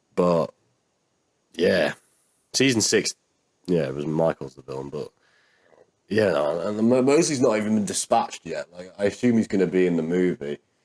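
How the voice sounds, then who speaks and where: With a British accent and a fairly low pitch, a man's voice swings very widely in pitch and heavily in loudness, broken by long, frequent pauses. The sound is dry and close, with no echo. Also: moderate pace. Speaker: YouTube reaction creator. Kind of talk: casual commentary monologue. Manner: sounds sarcastic.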